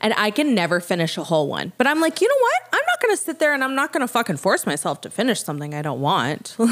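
A woman's fairly high, animated voice at a very fast pace, with very wide pitch swings and hardly any pauses. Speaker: podcast host. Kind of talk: casual chat.

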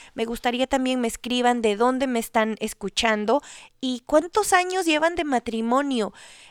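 At a moderate pace, a woman with a high pitch speaks with lively intonation in a very clean recording with a silent background and a dry, close sound with no echo. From Ecuador. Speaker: podcast host. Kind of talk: solo podcast monologue on marriage.

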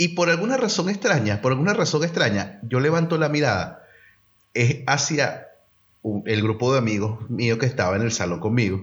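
At a moderate pace, a man with a medium, somewhat breathy pitch makes very wide pitch swings while his loudness stays very even. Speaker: podcast co-host. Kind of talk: casual chat.

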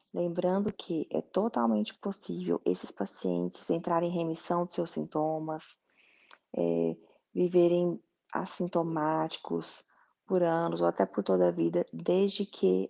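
Over a quiet background, a woman speaks at a fairly slow pace with a dry, close sound and no echo. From Goiás, Brazil. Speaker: doctor, colorectal surgeon. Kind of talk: explanatory talk.

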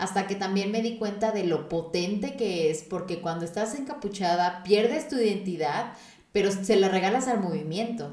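Amid noticeable background noise and audible room echo, a woman talks at a moderate pace and medium pitch with ordinary pitch variation. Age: 20s. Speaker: podcast host. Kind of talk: casual chat.

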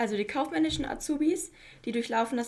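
Pitch moves in an ordinary way. A somewhat breathy quality colors the voice. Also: woman. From Mecklenburg-Vorpommern, Güstrow. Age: 20s. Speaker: industrial clerk apprentice. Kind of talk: interview.

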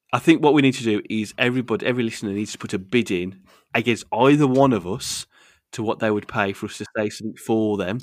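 Very fast speech from a man with a West Midlands accent, medium pitch and ordinary pitch variation, on a very clean recording with a silent background. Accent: broad Wolverhampton (West Midlands). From Wolverhampton, England. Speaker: podcast host. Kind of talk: casual banter.

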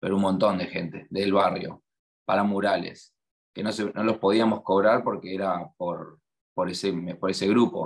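A man with an Argentine accent speaks at a moderate pace in a monotone, flat intonation over a quiet background. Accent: Rioplatense Argentine Spanish. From Argentina, La Plata. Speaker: muralist and graphic artist. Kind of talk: interview.

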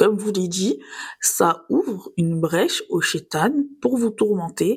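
In a very clean recording with a silent background, a somewhat breathy woman speaks at a very slow pace with lively intonation. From southern France, Nice. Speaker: podcast host. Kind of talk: scripted religious reflection podcast.

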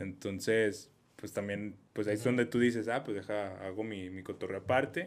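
A man speaks with a Mexican accent at a moderate pace. His pitch is fairly low and his intonation fairly even. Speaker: podcast host. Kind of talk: casual chat.

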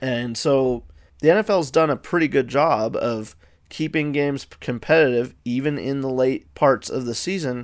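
A man at medium pitch uses ordinary pitch variation and a moderate pace in a plain, everyday voice. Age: 20s. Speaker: sports podcast host. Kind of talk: solo podcast commentary. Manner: casual, with filler words.

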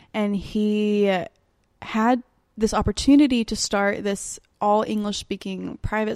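A woman speaks with an Alabama accent at a fairly slow pace. The recording is very clean, with a silent background and a dry, close sound with no echo. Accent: US Southern (Alabama). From Alabama (Birmingham). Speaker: Spanish interpreter and barista. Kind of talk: casual chat.

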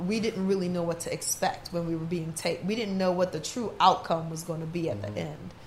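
This is a woman with a medium pitch. Her voice is somewhat breathy. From New Orleans, born in Trinidad and Tobago. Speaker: DJ and actress. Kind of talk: casual chat.

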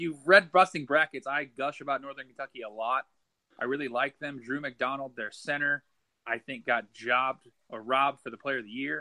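With an American accent and an unremarkable speaking voice, a man of fairly high pitch keeps fairly even intonation while his loudness swings widely. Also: fairly quick pace. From Nebraska. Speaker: college basketball writer. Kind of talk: casual chat.

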